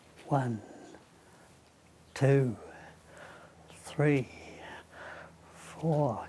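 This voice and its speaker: A man's fairly high voice with a British accent, a dark, mellow tone and ordinary pitch variation. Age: 90s. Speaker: elderly man demonstrating exercises. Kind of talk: casual exercise demonstration. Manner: halting.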